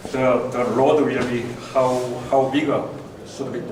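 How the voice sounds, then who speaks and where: A man's medium-pitched speech carries audible room echo amid noticeable background noise. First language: not English. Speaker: diorama modeller. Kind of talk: seminar talk. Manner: halting.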